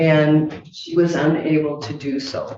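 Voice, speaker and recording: At a very slow pace, a woman speaks in a very deep, low pitch. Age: 70s. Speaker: landlord, plaintiff. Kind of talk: court hearing testimony. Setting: courtroom.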